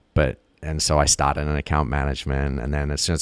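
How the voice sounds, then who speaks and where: A man talks at a very fast pace with a very deep, low pitch and vocal fry. His intonation stays monotone and flat. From grew up in Africa and Southeast Asia, British family. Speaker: advertising creative executive. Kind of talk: interview conversation. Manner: halting, many repetitions.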